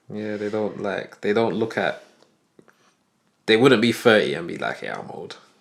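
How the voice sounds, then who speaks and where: With a British accent, a man speaks at a moderate pace in a fairly low pitch with ordinary pitch variation. His loudness swings widely, and he pauses long and often. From UK. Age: 30s. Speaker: podcast co-host. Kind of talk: casual chat.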